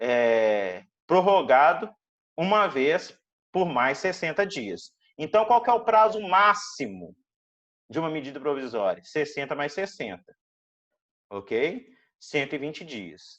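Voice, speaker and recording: Against a quiet background, the speech moves at a very slow pace with long, frequent pauses. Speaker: law lecturer. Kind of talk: online lecture.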